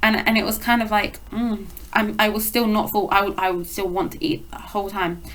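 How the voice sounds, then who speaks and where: A woman speaks with a British accent in a fairly high voice. Her pitch varies in an ordinary way, and the room echo is audible. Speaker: eating disorder recovery vlogger. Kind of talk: casual vlog monologue. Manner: fast.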